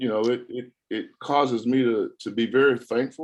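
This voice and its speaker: Using a normal speaking voice, a man talks with an American accent. His pitch is medium, and his pace is moderate. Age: 60s. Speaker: former college football player. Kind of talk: press conference interview. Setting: video call.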